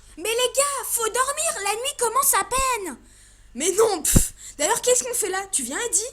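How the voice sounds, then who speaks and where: Putting on a character voice, a woman talks at a moderate pace with an extremely high pitch. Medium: audio drama. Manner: casual, crude.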